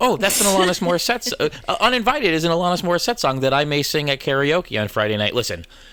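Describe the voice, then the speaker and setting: Over noticeable background noise, a man talks at a very fast clip with hardly any pauses, his high voice animated, swinging very widely in pitch at a very even loudness. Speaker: podcast host. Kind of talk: casual chat. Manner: rambling, fast, animated.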